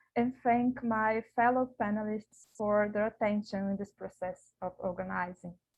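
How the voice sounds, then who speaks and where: Speaking at a moderate pace with a Portuguese accent, a woman uses a fairly high pitch and fairly even intonation. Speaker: academic researcher. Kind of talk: conference paper presentation. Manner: halting.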